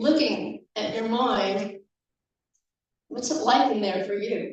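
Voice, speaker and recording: Amid audible room echo, a woman with a medium pitch and ordinary pitch variation speaks with long, frequent pauses. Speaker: guest speaker at church service. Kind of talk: sermon.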